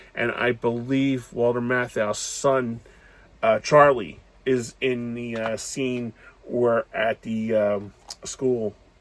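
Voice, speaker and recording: Over noticeable background noise, a man with a medium-pitched voice talks at a very slow pace. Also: fairly even intonation. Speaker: movie reviewer. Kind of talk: casual movie review monologue. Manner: halting, many fillers.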